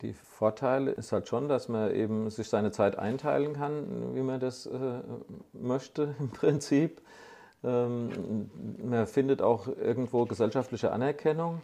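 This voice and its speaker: Very slowly, a man speaks at a medium pitch. His tone is dark and mellow. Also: ordinary pitch variation. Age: 60s. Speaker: master body shop owner. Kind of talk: interview. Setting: at his workshop.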